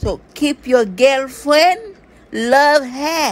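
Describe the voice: Lively intonation marks this cartoonish character voice, delivered at a very slow pace.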